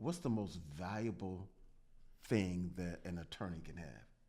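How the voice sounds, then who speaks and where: A man's dark, mellow tone at a moderate pace, with audible room echo. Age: 60s. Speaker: trial attorney, podcast co-host. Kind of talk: casual legal discussion podcast.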